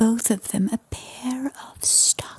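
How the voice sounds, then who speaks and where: A woman is whispering at a very slow pace. Noticeable background noise can be heard. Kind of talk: ASMR bedtime story reading. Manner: whispered, soft-spoken.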